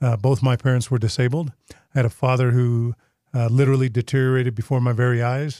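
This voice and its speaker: Man with a dark, mellow tone and medium pitch, somewhat breathy, at a very fast pace with monotone, flat intonation, in a dry, close sound with no echo. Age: 40s. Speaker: state auditor, politician. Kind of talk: podcast interview. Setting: studio.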